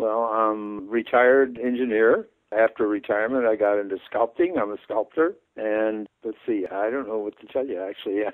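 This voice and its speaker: This man has a Midwestern American accent. He speaks at a moderate pace with fairly even intonation. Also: medium pitch for a man. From Detroit, Michigan. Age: 90s. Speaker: retired engineer and war veteran. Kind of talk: phone interview. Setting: phone call.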